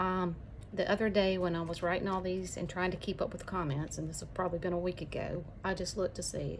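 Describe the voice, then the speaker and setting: A woman with an Alabama accent speaks at medium pitch and a fairly quick pace, with audible room echo. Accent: Southern US (Alabama). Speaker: YouTuber. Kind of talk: casual chat.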